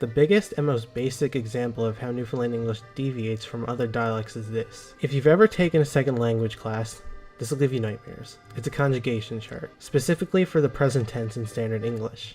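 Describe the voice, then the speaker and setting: A man talks at a fairly quick pace with hardly any pauses. Music plays in the background. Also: medium pitch for a man, ordinary pitch variation. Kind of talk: explainer narration.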